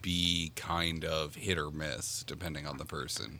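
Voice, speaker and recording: On a very clean recording with a silent background, a man with a bright, sharp tone speaks at a fairly slow pace. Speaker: anime podcaster. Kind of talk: casual chat. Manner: repeats words when starting sentences.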